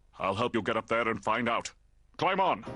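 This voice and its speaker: A man's hoarse, put-on character voice at medium pitch and a fairly quick pace. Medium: cartoon.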